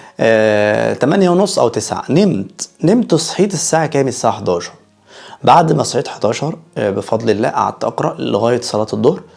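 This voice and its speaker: The speaker's pitch swings very widely. The pace is moderate. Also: man. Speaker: YouTuber. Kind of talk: casual vlog monologue. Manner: halting, many fillers.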